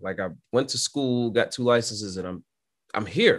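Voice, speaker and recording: A man with an American accent talks at a very fast pace against a quiet background. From New York City (Brooklyn). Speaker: aircraft maintenance instructor and pilot. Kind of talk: casual interview. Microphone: video call.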